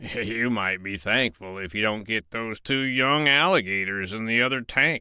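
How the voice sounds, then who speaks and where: A gruff, put-on character voice from a man, medium in pitch, at a moderate pace with hardly any pauses. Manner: gruff, blunt.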